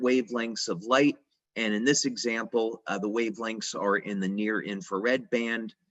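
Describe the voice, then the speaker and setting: A normal speaking voice from a man, medium in pitch, fairly level in intonation, moderate in speed. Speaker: company founder presenting product science. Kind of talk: lecture. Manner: many filler words.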